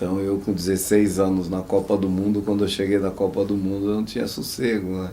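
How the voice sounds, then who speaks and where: A man speaks at a fairly quick pace with hardly any pauses, his fairly low voice dark and mellow in tone and his intonation flat and monotone. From interior of São Paulo state, Brazil. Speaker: former footballer. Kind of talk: oral history interview answer. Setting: studio.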